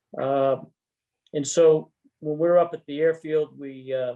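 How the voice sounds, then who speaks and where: A man's fairly high, flat, monotone delivery, fairly slow, with an American accent. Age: 70s. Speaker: retired army general and pilot. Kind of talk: interview.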